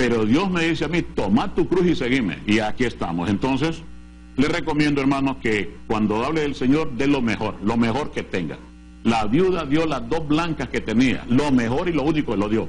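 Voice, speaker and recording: Lively intonation at a moderate pace, with audible room echo. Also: man, medium pitch for a man. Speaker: pastor and Bible TV show host. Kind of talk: TV Bible teaching program. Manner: emphatic, forceful preaching.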